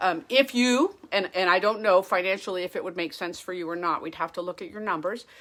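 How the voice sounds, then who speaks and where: A woman's plain, everyday voice at medium pitch, fairly quick with hardly any pauses, ordinary pitch variation and big swings in loudness, on a very clean recording with a silent background. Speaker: federal retirement advisor. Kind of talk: live stream Q&A.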